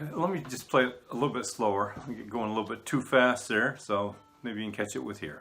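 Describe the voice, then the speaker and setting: The man talks at a very fast pace and a medium pitch, with ordinary pitch variation. Noticeable background noise is present. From Pennsylvania. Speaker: fiddler and music teacher. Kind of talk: tutorial. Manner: casual, hesitant with fillers.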